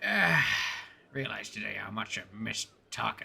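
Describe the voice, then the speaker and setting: A man performs a put-on character voice, raspy and fairly quick, with big swings in loudness. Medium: actual play. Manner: gruff, terse.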